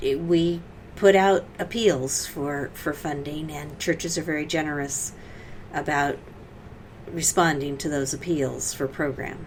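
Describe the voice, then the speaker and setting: A woman talks at a fairly slow pace, her loudness swinging widely. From Great Plains. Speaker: church community worker. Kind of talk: interview.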